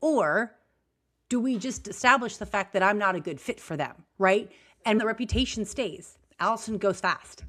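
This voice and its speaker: The recording is very clean with a silent background. A woman speaks with ordinary pitch variation. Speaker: business strategist podcast host. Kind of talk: casual podcast conversation. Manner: fast; high energy.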